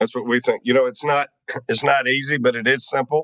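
The speaker is a man with a Southern US accent. The sound is dry and close, with no echo. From US South. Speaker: webinar host. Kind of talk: interview. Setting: video call.

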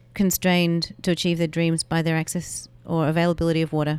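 An Australian accent in monotone, flat intonation, on a very clean recording with a silent background. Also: woman. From Melbourne, Australia. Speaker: water advocate and marathon runner. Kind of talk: interview. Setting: in person.

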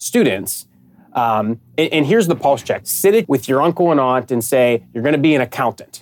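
A man with an American accent talks at a medium pitch and moderate pace in a normal speaking voice. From Pittsburgh, US. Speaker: sports partnership sales director. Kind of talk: interview.

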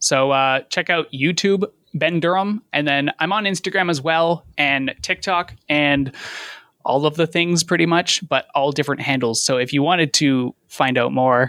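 A man with a Canadian accent speaks at a moderate pace with ordinary pitch variation, his bright, sharp tone captured in a very clean recording against a silent background, dry and close with no echo and very even loudness. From London, Ontario, Canada. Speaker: YouTube cycling content creator. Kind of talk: casual chat.

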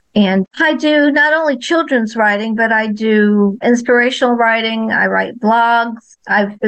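With an American accent, a woman talks at a moderate pace in an ordinary speaking voice, her pitch fairly high with ordinary variation. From New Jersey and Florida. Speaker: children's author. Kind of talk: interview.

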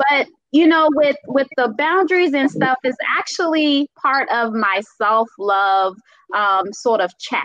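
Lively intonation marks a woman's fairly slow speech in a Caribbean accent. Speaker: speaker and self-love advocate. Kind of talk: casual panel chat. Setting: live online video stream.

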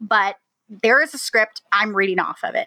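A woman speaks at a fairly quick pace in a bright, sharp tone, with a dry, close sound and no echo. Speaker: podcast co-host and web developer. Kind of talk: casual interview chat. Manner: fast talker; nervous.

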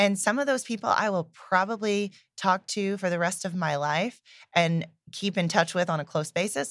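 With an American accent, a normal speaking voice talks at a moderate pace and varies its pitch in an ordinary way. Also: woman, medium pitch for a woman. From Indiana, US Midwest. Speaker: entrepreneur, company co-founder. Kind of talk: casual chat.

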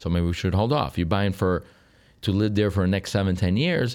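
A fairly low male voice with a Sicilian accent, fairly quick in pace and very even in loudness. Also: very clean recording, silent background. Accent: Italian (Sicilian) accent in English. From Sicily, Italy. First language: Italian. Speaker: real estate broker. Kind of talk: interview.

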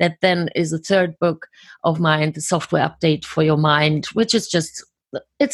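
Somewhat breathy and very deep for a woman, her voice moves at a fairly slow pace with fairly even intonation, recorded dry and close with no echo against a quiet background. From Germany. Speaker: author and coach. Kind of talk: interview.

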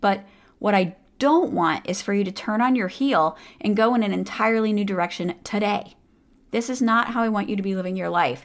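An unremarkable speaking voice from a woman, fairly high in pitch, with lively intonation at a moderate pace, on a very clean recording with a silent background. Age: 40s. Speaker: podcast host, psychologist and coach. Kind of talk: solo podcast monologue.

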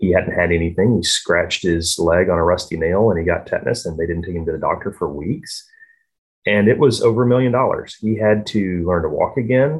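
A man with a fairly low pitch talks at a fairly quick pace. His voice is somewhat breathy, with lively intonation. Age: 40s. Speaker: vaccine trial participant. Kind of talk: casual chat.

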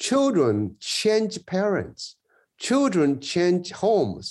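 This voice belongs to a man. He speaks with a Chinese accent. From rural China. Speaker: education professor. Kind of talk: interview.

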